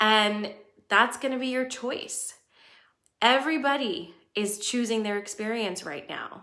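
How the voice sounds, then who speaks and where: At a fairly slow pace with long, frequent pauses, a woman speaks at a fairly high pitch in a bright, sharp tone, with audible room echo. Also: ordinary pitch variation, big swings in loudness. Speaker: astrology livestream host. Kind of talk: livestream talk to viewers. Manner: casual.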